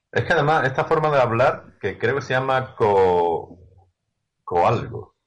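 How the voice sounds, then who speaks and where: His pitch rises and falls across a very wide range. The man keeps to a fairly slow pace. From Andalusia, Seville. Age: 50s. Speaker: youtuber. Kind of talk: interview.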